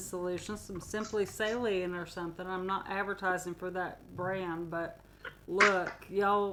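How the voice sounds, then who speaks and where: At a fairly slow pace, a woman speaks with an American accent. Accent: southern US, sometimes. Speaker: podcast co-host. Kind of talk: casual chat. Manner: animated.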